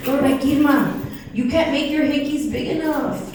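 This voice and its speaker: With an American accent, a woman with a high pitch talks in an animated tone at a fairly quick pace, amid audible room echo and noticeable background noise. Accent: Chicana (chola). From Texas, Del Rio. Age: 40s. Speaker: stand-up comedian. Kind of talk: stand-up. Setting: stage with audience.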